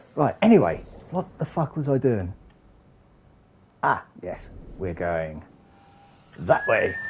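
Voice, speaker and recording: With noticeable background noise behind him, a man speaks at a very slow pace, leaving long, frequent pauses. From England. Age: 40s. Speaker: gaming streamer. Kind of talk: live gameplay stream chat. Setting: streaming from a PlayStation console.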